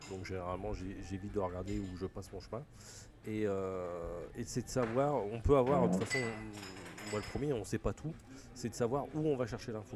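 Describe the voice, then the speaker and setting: The speech moves at a fairly quick pace, with ordinary pitch variation and long, frequent pauses. Noticeable background noise runs underneath. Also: man, fairly low pitch for a man. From Picardie, northern France. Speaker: refrigeration technician. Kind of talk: casual chat. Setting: trade show.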